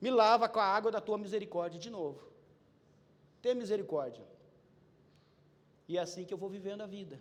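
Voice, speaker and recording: A man talks at a fairly quick pace with a high pitch. Long, frequent pauses and big swings in loudness mark his speech. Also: ordinary pitch variation. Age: 50s. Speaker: preacher. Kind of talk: sermon. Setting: church. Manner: animated.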